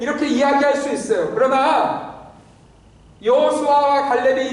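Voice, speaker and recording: Over noticeable background noise and audible room echo, a man speaks at an extremely high pitch. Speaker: pastor. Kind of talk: sermon.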